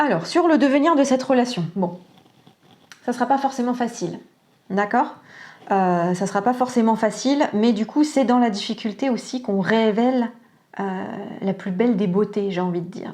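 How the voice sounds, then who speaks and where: A woman with a fairly high pitch and a dark, mellow tone speaks at a moderate pace, leaving long, frequent pauses. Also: ordinary pitch variation. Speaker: tarot and oracle card reader. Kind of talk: psychic reading guidance. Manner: calm, soft; hesitant, many fillers.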